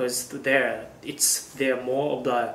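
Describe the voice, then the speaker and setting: With a Japanese accent, a man speaks in a flat monotone amid audible room echo. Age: 20s. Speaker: YouTuber. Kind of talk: vlog monologue. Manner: halting with fillers. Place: home room.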